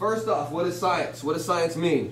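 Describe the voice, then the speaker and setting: Amid noticeable background noise and audible room echo, a man with a high pitch speaks at a fairly quick pace. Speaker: teacher. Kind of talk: classroom lecture. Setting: classroom with students. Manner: fast.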